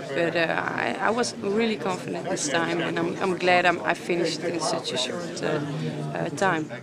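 The speaker has a Dutch accent and keeps a moderate pace. Loud background noise is present. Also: woman. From Netherlands. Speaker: fighter. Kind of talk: post-fight interview. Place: hall.

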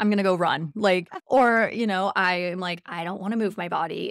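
A woman talks at a fairly quick pace. The sound is dry with no echo, over a quiet background. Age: 30s. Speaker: podcast host, dog trainer. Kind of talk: casual chat. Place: home room. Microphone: studio mic.

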